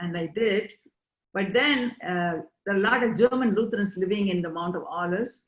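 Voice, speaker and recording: This speaker talks at a fairly quick pace with an Indian accent and fairly even intonation. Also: woman. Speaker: interviewee, immigrant. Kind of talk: interview.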